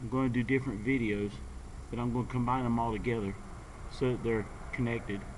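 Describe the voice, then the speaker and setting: Over audible room echo, a man with an American accent talks at a very fast pace in a monotone, flat delivery broken by long, frequent pauses. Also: medium pitch for a man. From North Carolina. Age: 40s. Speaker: skateboarder vlogger. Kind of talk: casual vlog monologue. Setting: outdoors at a skate park. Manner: halting, many fillers and repeats.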